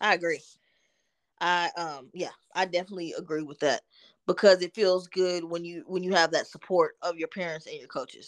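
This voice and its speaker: Against a quiet background, a woman with an American accent speaks at a moderate pace with fairly even intonation. Her pitch is fairly low, and she has an unremarkable speaking voice. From Texas, Dallas. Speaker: licensed counselor, former athlete. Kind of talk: interview.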